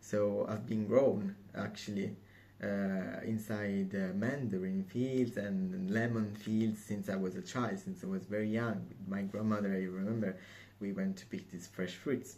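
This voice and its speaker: With an Italian accent, a man speaks at a fairly slow pace with a fairly low pitch. His tone is dark and mellow, and his intonation is fairly even. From southern Italy, Calabria. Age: 20s. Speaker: assistant perfumer. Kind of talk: application video monologue. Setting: museum. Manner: hesitant, many fillers.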